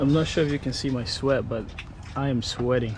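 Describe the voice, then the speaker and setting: A man with a medium pitch and fairly even intonation talks at a moderate pace through noticeable background noise and audible room echo. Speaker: travel vlogger. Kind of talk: casual vlog narration. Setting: outdoors. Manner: soft-spoken in places.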